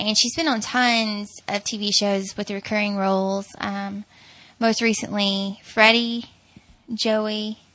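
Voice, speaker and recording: Very slowly and in a Southern US accent, a woman talks in a fairly high, bright, sharp voice with monotone, flat intonation. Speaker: podcast host. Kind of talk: casual chat.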